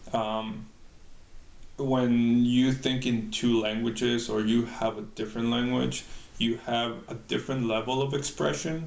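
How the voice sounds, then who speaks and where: In a Spanish accent, a man speaks at a fairly slow pace in a medium-pitched voice with fairly even intonation, and audible room echo surrounds him. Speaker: bilingual employee. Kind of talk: interview answer. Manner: halting, many fillers.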